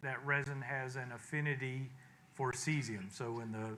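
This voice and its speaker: With a bright, sharp tone, a man talks at a fairly slow pace and medium pitch. Room echo is audible. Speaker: engineer presenting to advisory board. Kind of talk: technical presentation. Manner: hesitant, many fillers.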